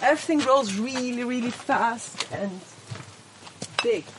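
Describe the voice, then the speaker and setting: The speaker talks at a fairly slow pace with lively intonation. Audible room echo and noticeable background noise fill the recording. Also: woman. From Austria, Switzerland and Spain. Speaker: house and animal caretaker. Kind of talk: casual house tour and personal story. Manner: halting, with repetitions.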